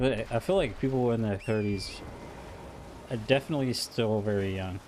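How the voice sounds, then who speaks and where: An ordinary speaking voice from a man, pitched in the medium range, moderate in pace and ordinary in pitch variation. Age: 20s. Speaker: video game streamer. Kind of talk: casual chat. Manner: relaxed.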